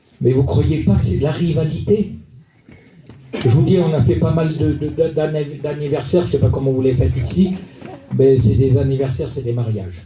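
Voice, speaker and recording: Lively intonation carries a moderate pace here, with audible room echo and noticeable background noise. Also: man. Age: 60s. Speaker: preacher. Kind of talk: sermon. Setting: church. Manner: animated.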